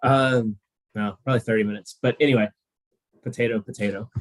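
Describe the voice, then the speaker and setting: A man speaks with an Oklahoma accent. The sound is dry and close, with no echo. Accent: American (Oklahoma). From US, Oklahoma. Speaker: spaceport representative and astronaut trainer. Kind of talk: presentation to students. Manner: casual, with many fillers.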